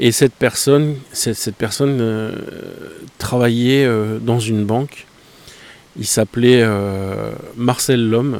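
Delivery is very slow, with fairly even intonation and long, frequent pauses. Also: man, medium pitch for a man. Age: 40s. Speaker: photography podcaster. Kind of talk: casual monologue. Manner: hesitant with many fillers.

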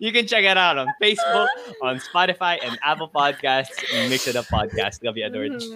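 Over noticeable background noise, a man with a high pitch talks at a fairly quick pace, his voice making very wide pitch swings. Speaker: podcast co-host, TV host. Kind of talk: casual chat.

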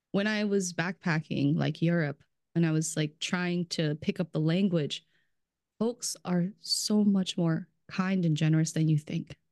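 A woman's animated, fairly low-pitched voice with ordinary pitch variation at a fairly slow pace. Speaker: brand strategist in food industry. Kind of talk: casual chat. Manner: animated, laughs often.

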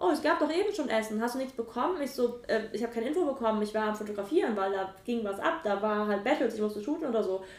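A woman's fairly high voice at a very fast pace, lively in intonation with hardly any pauses, amid noticeable background noise and audible room echo. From western Germany (Mönchengladbach, Lower Rhine). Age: 20s. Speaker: dance photographer and dancer. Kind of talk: casual chat.

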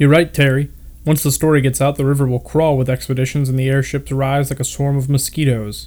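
This is an unforced reading voice. It stays unforced throughout.

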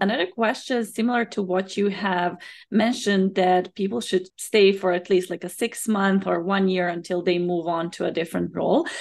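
In a plain, everyday voice, a woman speaks at a medium pitch and a moderate pace with fairly even intonation and hardly any pauses, over a quiet background. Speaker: podcast host and career coach. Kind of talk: interview, host intro and questions.

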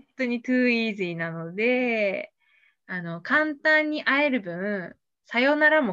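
Her voice fairly high, bright and sharp, a woman speaks with very wide pitch swings and big swings in loudness. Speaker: podcast guest sharing dating experience. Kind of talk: casual interview. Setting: online live stream.

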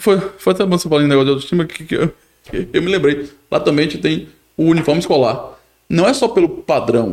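A man with a fairly high pitch, vocal fry and lively intonation at a very fast pace. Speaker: podcast co-host and municipal government official. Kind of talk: casual interview chat.

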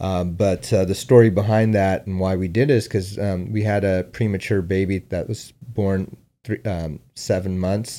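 A dark, mellow voice with an American accent and hardly any pauses, in a very clean recording with a silent background. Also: man, fairly low pitch for a man, fairly even intonation, moderate pace. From San Diego, California. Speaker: escrow company founder and investor. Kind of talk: casual interview.

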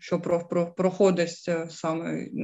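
Speaking in a flat monotone with a Ukrainian accent, a woman has a fairly low pitch. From Ukraine, Dnipro. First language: Ukrainian (speaking German). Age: 30s. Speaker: war refugee. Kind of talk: interview testimony.

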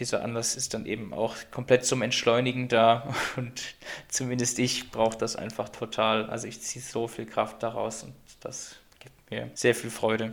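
Vocal fry marks this man's voice. He speaks at a moderate pace with monotone, flat intonation. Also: medium pitch for a man. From Göttingen, Lower Saxony, Germany. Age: 20s. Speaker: physics student and student club chair. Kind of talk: casual interview chat.

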